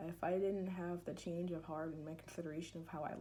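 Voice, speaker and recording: A woman talks at a very fast pace, her voice somewhat breathy. Room echo is audible. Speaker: student giving class speech. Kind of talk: persuasive speech. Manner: halting.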